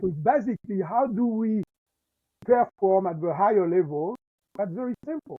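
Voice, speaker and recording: Lively in intonation, a man speaks at a moderate pace with a voice that is high in pitch. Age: 50s. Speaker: chiropractor and mindset coach. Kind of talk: podcast interview. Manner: halting, many fillers and restarts.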